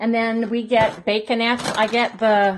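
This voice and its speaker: Over noticeable background noise, a woman speaks at a fairly slow pace in a somewhat breathy voice. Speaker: home vlogger. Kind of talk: casual vlog chat. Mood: relaxed, friendly. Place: kitchen. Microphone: phone near.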